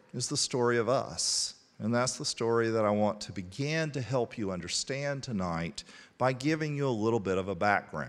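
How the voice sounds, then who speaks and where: A man with a Southern US accent talks at a moderate pace in a medium pitch with lively intonation. The recording is very clean, with a silent background. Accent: Southern American. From Statesville, North Carolina. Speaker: college historian. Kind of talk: lecture. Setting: parish hall with audience.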